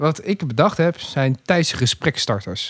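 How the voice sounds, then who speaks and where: A man is speaking. He takes a fairly slow pace. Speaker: podcast guest. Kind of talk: casual chat. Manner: animated.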